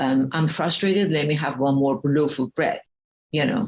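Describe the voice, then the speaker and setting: The speaker is a woman with a very deep, low pitch. She keeps a moderate pace. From Iran. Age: 60s. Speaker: spiritual health coach. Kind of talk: interview. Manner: animated.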